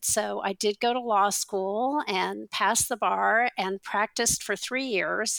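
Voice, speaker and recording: In a very clean recording with a silent background, a woman at medium pitch speaks at a fairly slow pace in an ordinary speaking voice. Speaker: teacher and textbook author. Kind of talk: interview.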